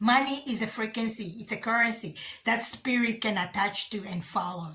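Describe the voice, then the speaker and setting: A woman talks at a moderate pace in a fairly high voice. Background noise is noticeable. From Africa. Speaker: spiritual channel host. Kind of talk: spiritual monologue video. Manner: halting.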